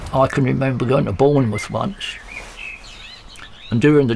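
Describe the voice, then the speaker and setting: With noticeable background noise behind them, the speaker uses an English accent, ordinary pitch variation and a fairly quick pace. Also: man. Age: 80s+. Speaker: retired bus driver. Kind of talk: interview anecdote.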